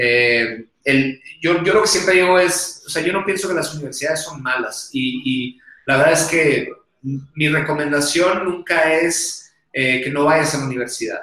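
A man with a strong Sonoran accent, fairly high-pitched, at a fairly slow pace. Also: ordinary pitch variation, big swings in loudness. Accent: strong northern Mexican (Sonoran). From northern Mexico, Hermosillo, Sonora. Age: 30s. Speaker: tech school founder. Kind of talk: interview.

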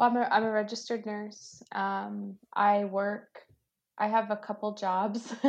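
Monotone, flat intonation in an American accent at a fairly slow pace. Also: woman, fairly high pitch for a woman. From US, Virginia. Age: 30s. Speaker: nurse. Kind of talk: casual chat.

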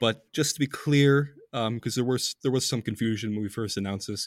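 A man with an unremarkable speaking voice talks at a medium pitch with fairly even intonation. The sound is dry and close with no echo, and the recording is very clean against a silent background. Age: 20s. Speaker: podcast host writing on Middle East politics. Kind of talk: casual chat.

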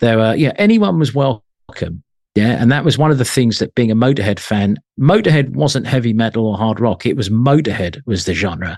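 A man with an English accent talks at a moderate pace with lively intonation, recorded dry and close with no echo against a quiet background. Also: medium pitch for a man. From England (London, Isle of Wight). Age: 50s. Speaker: music journalist and magazine editor. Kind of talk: casual interview.

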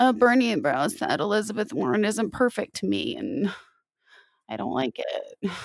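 At a moderate pace, a woman speaks with vocal fry and very wide swings in pitch. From US Midwest, rural Wisconsin. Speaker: podcast host. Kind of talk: interview.

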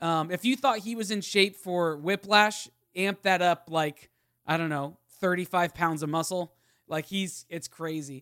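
A man speaks fairly slowly in a high voice with a bright, sharp tone. The recording is very clean with a silent background, and the sound is dry and close with no echo. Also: ordinary pitch variation. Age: 30s. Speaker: podcast host. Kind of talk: casual chat.

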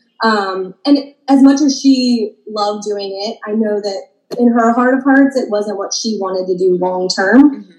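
A woman with an American accent talks with hardly any pauses. She has a normal speaking voice and ordinary pitch variation. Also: fairly high pitch for a woman, fairly slow pace. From Maryland, US. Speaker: boutique owner. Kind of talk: casual interview.

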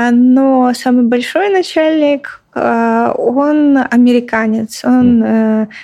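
Here is a woman speaking. She goes at a very slow pace. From Russia, Belgorod region. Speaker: front-end developer. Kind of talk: interview.

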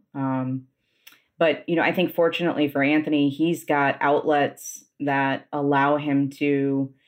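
At a fairly slow pace, a woman speaks in a very deep, low pitch with monotone, flat intonation. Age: 40s. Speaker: yoga teacher. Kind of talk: casual chat. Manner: calm, poetic cadence.

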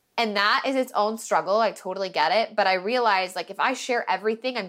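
The speaker has an American accent and talks at a very fast pace with ordinary pitch variation. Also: woman. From Oregon, US. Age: 20s. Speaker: wedding videographer. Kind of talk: podcast interview.

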